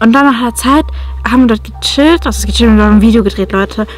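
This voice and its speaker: Faint music plays in the background as a woman speaks, the sound dry with no echo. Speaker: vlogger. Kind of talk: casual vlog chat, storytelling. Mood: tense, spooked. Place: car. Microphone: phone near.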